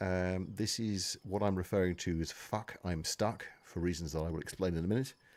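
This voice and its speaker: This man has a British accent. He talks at a moderate pace. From Britain. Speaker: gaming streamer. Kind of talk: live stream Q&A while gaming. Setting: live stream.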